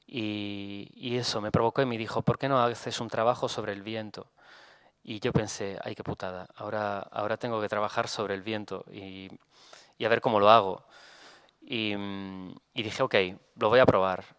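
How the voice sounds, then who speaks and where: Against a quiet background, a man with a fairly low pitch speaks at a moderate pace in a flat monotone, with long, frequent pauses, big swings in loudness and a dry sound with no echo. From Italy. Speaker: photographer. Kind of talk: lecture. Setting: stage with audience. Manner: halting. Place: hall. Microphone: podium.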